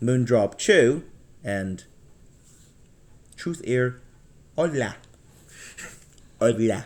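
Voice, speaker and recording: The speaker is a man. He has a medium pitch. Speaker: earphone reviewer. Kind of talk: casual talk to camera.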